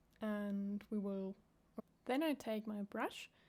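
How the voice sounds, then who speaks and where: Talking at a very slow pace with a non-native accent, a woman uses a medium pitch, a dark, mellow tone and fairly even intonation. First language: not English. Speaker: craft tutorial creator. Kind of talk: tutorial. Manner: halting.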